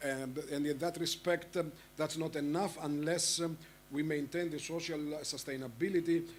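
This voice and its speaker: This man's voice sits at a fairly high pitch. His intonation is monotone and flat. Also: moderate pace. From Egypt. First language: Arabic. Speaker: panel moderator. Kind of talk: conference panel moderation. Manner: halting, many fillers.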